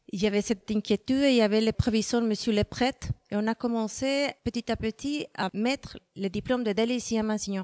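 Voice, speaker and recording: A woman with a Spanish accent speaks quickly, with hardly any pauses, in a fairly high pitch, on a very clean recording with a silent background and a dry, close sound with no echo. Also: fairly even intonation. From Mexico. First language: Spanish (speaking French). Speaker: Spanish teacher and exam organizer. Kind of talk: interview. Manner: hesitant, many fillers.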